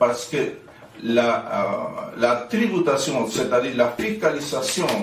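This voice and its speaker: Amid noticeable background noise and audible room echo, a man talks with lively intonation. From Chile. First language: Spanish (speaking French). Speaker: activist and NGO president. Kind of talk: commemorative speech. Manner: halting.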